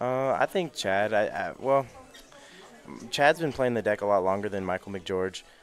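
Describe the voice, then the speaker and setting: A man speaks at a moderate pace with lively intonation. He leaves long, frequent pauses. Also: fairly low pitch for a man. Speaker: card game tournament commentator. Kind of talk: live commentary. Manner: loud.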